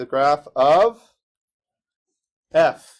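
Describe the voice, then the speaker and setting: A man speaks with a fairly high pitch. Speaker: math teacher. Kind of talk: classroom lecture.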